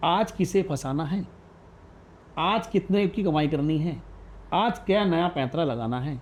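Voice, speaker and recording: With a high pitch and lively intonation, a man speaks with long, frequent pauses against a quiet background. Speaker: radio jockey. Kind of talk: podcast interview answer.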